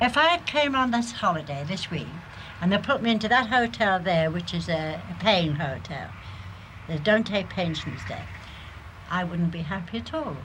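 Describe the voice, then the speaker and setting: Amid audible room echo, a woman talks with lively intonation. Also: moderate pace. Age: old. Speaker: pensioner. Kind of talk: interview.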